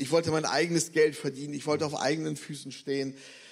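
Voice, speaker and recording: A man talks at a fairly quick pace with fairly even intonation and a fairly high pitch. He has a plain, everyday voice. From Bremen, northern Germany. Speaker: missionary. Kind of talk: testimony. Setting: church service.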